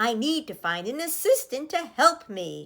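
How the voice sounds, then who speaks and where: A put-on character voice swings very widely in pitch at a moderate pace. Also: woman. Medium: read story.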